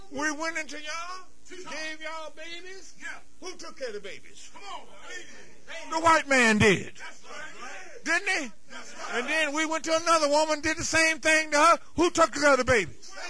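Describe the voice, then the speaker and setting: Amid noticeable background noise and audible room echo, a man with an extremely high pitch speaks in a raised, projected voice and an animated tone, with big swings in loudness and long, frequent pauses. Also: ordinary pitch variation, moderate pace. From US South, Georgia. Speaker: minister. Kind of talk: sermon.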